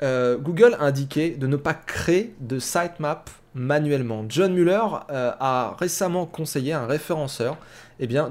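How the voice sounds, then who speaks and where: With ordinary pitch variation, a man speaks at a fairly slow pace in a fairly high voice. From France. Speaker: SEO news podcast host. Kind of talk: solo news commentary. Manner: hesitant with many fillers.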